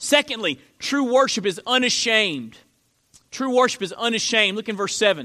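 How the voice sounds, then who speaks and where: A man speaks at a high pitch in a raised, projected voice, with a bright, sharp tone and ordinary pitch variation. His pace is moderate, and the recording is very clean with a silent background. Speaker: pastor. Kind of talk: sermon. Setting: church. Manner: loud.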